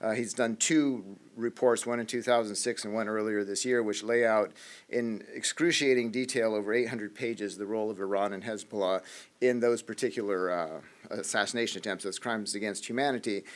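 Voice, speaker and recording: Against a silent background in a very clean recording, a man speaks at a medium pitch and a fairly quick pace with fairly even intonation. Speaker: policy analyst on a panel. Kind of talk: panel presentation. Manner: fast.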